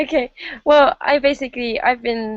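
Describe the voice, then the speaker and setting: A woman speaks at a moderate pace with an English accent. Her pitch moves in an ordinary way. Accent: very English. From England. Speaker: online marketer. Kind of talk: interview. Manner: hesitant, many fillers.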